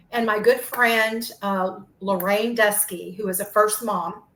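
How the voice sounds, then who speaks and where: The woman's voice sits at a fairly high pitch. Her intonation stays fairly even, with noticeable background noise behind it. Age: 60s. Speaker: adoptee sharing DNA discovery story. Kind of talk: personal testimony in interview.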